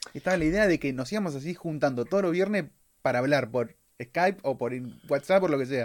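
With a Rioplatense accent, a man talks at a fairly quick pace in a fairly high pitch, his intonation lively. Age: 20s. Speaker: podcast co-host, designer. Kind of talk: casual chat. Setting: video call.

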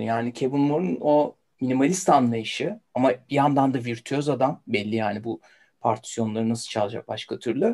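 The man's voice has a dark, mellow tone. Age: 40s. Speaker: writer and music fan. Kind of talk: casual chat.

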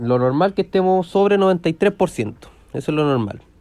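Ordinary pitch variation shapes a man's dark, mellow tone. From Chile, Curicó. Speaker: surgeon in training. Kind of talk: casual chat. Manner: halting.

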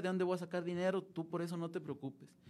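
This man talks at a very fast pace. His pitch is high. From Mexico, Durango. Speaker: seminarian, former lay missionary. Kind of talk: interview testimony. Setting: studio, live broadcast.

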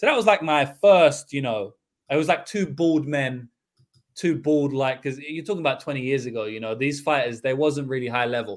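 Speaking at a fairly quick pace with a London accent, a man uses a fairly high pitch with ordinary pitch variation. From London, England. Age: 20s. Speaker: MMA betting analyst. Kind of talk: casual chat.

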